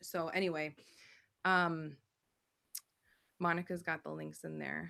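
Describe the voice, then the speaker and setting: A woman's fairly low, bright, sharp voice with an American accent at a fairly slow pace. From Buffalo, New York, US. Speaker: spiritual channeler and coach. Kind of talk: live stream promo and announcements. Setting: live online stream with chat. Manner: animated.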